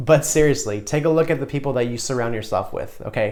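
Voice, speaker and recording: The speaker has an animated tone and ordinary pitch variation. The pace is fairly quick. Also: man. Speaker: self-help video creator. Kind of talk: motivational vlog talk. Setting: recording alone to camera.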